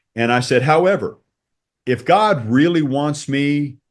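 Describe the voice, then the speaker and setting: The man's voice sits at a medium pitch and varies in an ordinary way. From Texas. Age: 60s. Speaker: church convert sharing faith story. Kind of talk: testimony.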